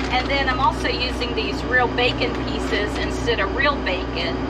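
Loud background noise surrounds a woman who speaks at a fairly slow pace. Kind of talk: casual cooking tutorial. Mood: relaxed, chatty. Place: kitchen. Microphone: camera far.

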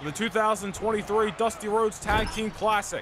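A man speaks in an animated tone at a high pitch. Noticeable background noise is present. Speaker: wrestling game commentator. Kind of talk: live wrestling commentary. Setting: gaming video voiceover. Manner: animated, fast, hyped play-by-play; excited, announcer-style delivery.

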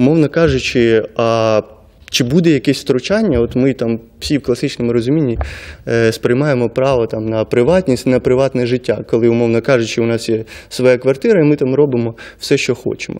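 A man's unremarkable speaking voice, medium in pitch with ordinary pitch variation, at a moderate pace against a quiet background. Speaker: lawyer and NGO co-founder; lawyer. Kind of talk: studio interview. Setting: studio. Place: studio. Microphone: studio mic.

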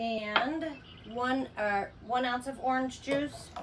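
A woman's high-pitched voice with fairly even intonation over noticeable background noise. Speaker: RV camper hosting a cocktail segment. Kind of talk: tutorial. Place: home room. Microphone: camera far.

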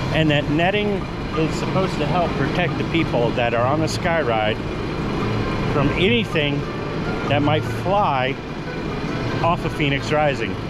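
A man talks at a fairly slow pace with long, frequent pauses. Loud background noise runs underneath. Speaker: theme park vlogger. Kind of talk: casual vlog chat. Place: stage. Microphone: phone near.

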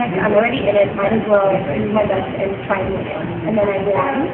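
A woman talks very fast while loud noise runs in the background. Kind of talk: interview answer. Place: studio.

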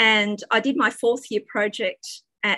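Close and dry with no echo, this woman's voice sits at a medium pitch and has a bright, sharp tone. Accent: Australian. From Australia. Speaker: physics professor. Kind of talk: academic talk. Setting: video call.

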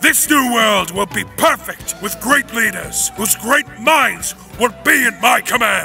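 Clear music plays in the background. A man speaks at an extremely high pitch and a fairly slow pace. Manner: pompous, grandiose.

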